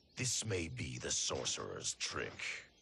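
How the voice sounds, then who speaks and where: A man puts on a raspy character voice with a very deep, low pitch at a fairly slow pace. Audible echo can be heard. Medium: video game. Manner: stern, confrontational.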